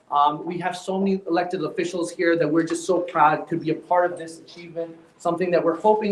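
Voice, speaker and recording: This man speaks loudly with a high pitch. His fairly quick delivery keeps a fairly even intonation. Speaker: healthcare company executive. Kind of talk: ceremony speech. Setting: live event with audience, no microphone. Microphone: speaking without a mic.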